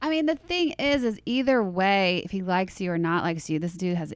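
A woman speaks with a Southern US accent and hardly any pauses. Her pitch swings very widely. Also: very clean recording, silent background. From US South, Louisiana. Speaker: celebrity stylist. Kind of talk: casual chat. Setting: studio.

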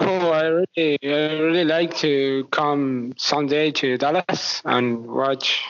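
A man with a Spanish accent speaks at a very slow pace, fairly high in pitch. His intonation is fairly even and his loudness very even. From Argentina. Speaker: basketball fan. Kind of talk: interview. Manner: halting.

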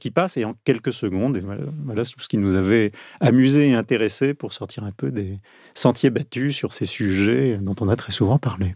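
A man with an ordinary speaking voice talks at a moderate pace in a medium pitch with lively intonation. The recording is very clean with a silent background. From southern France, Marseille. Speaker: journalist. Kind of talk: interview conversation. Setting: studio.

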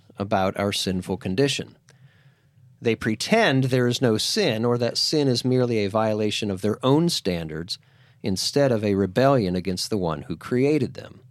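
With an American accent, a man uses a normal speaking voice at a medium pitch, speaking at a moderate pace with lively intonation. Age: 50s. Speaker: podcast host and teacher. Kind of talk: scripted monologue; classroom discussion.

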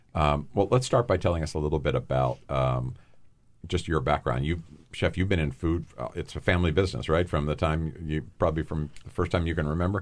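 With a very deep, low pitch and vocal fry, a man speaks at a fairly quick pace with ordinary pitch variation. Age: 60s. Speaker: podcast host, nonprofit founder. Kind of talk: interview. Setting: studio.

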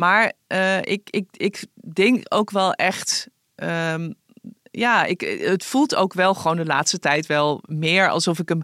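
At a very slow pace and with ordinary pitch variation, the voice comes through in a very clean, dry, close recording with a silent background and no echo. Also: woman. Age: 50s. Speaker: newspaper columnist and podcast host. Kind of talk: casual chat.

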